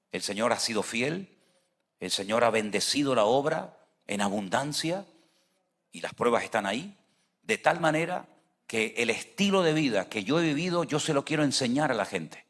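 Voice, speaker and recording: A man talks at a moderate pace with long, frequent pauses. His pitch swings very widely. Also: medium pitch for a man. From Venezuela. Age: 60s. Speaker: pastor. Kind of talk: sermon.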